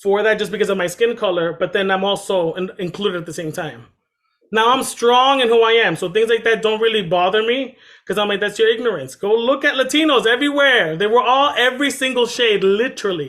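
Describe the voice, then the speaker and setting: With an American accent, a man speaks at a fairly quick pace in a high pitch with ordinary pitch variation. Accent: noticeable accent, per others in Florida. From Massachusetts, Dominican family. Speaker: panel guest. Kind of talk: casual discussion.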